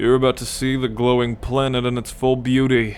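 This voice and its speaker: A gruff, put-on character voice from a man at medium pitch, fairly quick pace, clear background noise behind it. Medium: audio drama. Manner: cocky, gruff.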